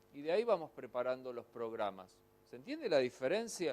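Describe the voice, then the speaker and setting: A man is speaking. He talks with a Rioplatense accent. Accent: Argentine Spanish (rioplatense, voseo). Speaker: pastor and ministry teacher. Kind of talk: lecture. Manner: fast.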